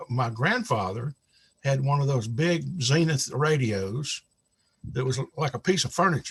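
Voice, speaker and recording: Somewhat breathy, a man with an American accent speaks at medium pitch with ordinary variation. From US South, South Carolina (Spartanburg). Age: 70s. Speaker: retired pastor and author. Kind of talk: interview storytelling.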